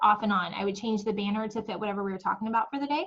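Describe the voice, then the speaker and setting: Here a woman talks at a fairly high pitch with ordinary pitch variation. Her voice is somewhat breathy. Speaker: direct sales team trainer. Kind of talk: team training call. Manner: fast; animated.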